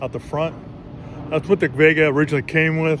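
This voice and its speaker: Over noticeable background noise, a man talks in a relaxed tone at a fairly quick pace. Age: 60s. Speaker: car hobbyist YouTuber. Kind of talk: casual vlog narration. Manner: relaxed, halting with fillers.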